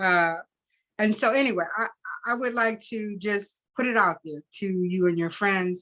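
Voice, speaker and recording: With an unremarkable speaking voice, a woman talks at a moderate pace and uses ordinary pitch variation. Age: 60s. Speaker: talk show host. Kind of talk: interview conversation.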